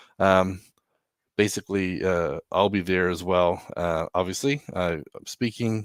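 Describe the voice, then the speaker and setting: Very deep, low male speech at a fairly slow pace, with ordinary pitch variation and a dry, close sound free of echo. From New Zealand. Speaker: software consultant. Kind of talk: tech presentation. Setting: online meetup.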